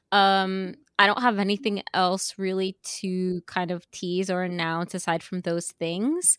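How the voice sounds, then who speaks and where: Recorded very cleanly with a silent background and a dry, close sound with no echo, a woman speaks with an American accent. She has a plain, everyday voice at medium pitch and a fairly slow pace. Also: fairly even intonation. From New York, Yonkers. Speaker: web developer and voice performer. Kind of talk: casual interview.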